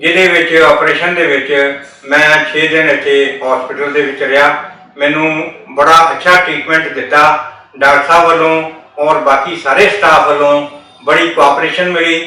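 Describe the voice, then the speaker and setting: In a room with audible echo and noticeable background noise, a man speaks with a fairly high pitch and monotone, flat intonation. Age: 70s. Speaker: patient. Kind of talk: testimony.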